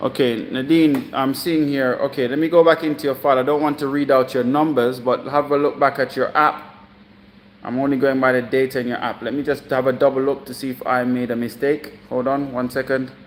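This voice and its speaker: A man speaks at a medium pitch in a monotone, flat intonation. There is noticeable background noise. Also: fairly quick pace. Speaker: fitness coach. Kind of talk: live stream coaching session. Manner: halting, many fillers.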